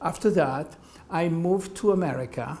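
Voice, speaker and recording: With a French accent, a man talks at a fairly slow pace, his pitch fairly high and ordinary in variation. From France. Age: 70s. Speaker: medical doctor and patient. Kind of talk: interview. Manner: halting.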